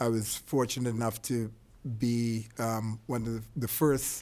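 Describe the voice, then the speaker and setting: A man speaks. His intonation is flat and monotone. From Trinidad. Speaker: artist, former model and restaurateur. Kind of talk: panel discussion. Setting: library event with audience.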